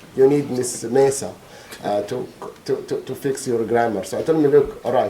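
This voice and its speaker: With a slight non-native accent, the speaker is heard through audible room echo and noticeable background noise. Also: man. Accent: slight foreign. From Egypt, Alexandria. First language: Arabic. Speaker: trial witness, bereaved father, scientist. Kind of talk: court testimony. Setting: courtroom. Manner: halting, many repetitions and fillers.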